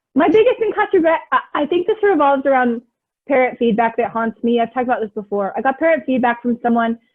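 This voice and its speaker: A woman talks at a very fast pace with a high pitch. Her pitch swings very widely. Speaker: online English teacher and YouTuber. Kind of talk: casual chat, live Q&A. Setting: livestream video chat. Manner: fast-talking.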